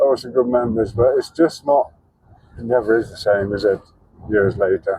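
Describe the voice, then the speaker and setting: A man mumbles at a fairly quick pace in a medium pitch, with a dark, mellow tone and fairly even intonation. He sounds somewhat breathy and takes long, frequent pauses. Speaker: travel vlogger. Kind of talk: casual vlog monologue. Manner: mumbling; halting.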